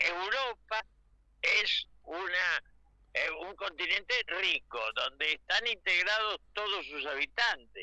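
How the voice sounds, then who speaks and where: A raised, projected voice with a bright, sharp tone moves at a very slow pace. Pitch varies in an ordinary way, and the sound is dry and close with no echo. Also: man, high pitch for a man. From Argentina. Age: 80s+. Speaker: political commentator. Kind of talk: radio interview.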